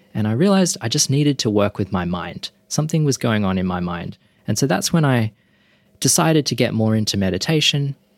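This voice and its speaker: A man with a medium pitch speaks in an Australian accent, his pitch swinging very widely. The recording is very clean with a silent background, and the sound is dry and close with no echo. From Perth, Western Australia. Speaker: meditation teacher. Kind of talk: interview.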